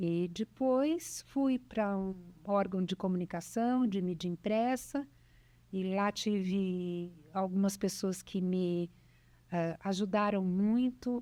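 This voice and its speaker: On a very clean recording with a silent background, a woman of medium pitch speaks at a very slow pace in a dark, mellow tone. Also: ordinary pitch variation. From Brazil, São Paulo state (Bauru). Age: 60s. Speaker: businesswoman, cancer survivor. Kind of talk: interview, life story.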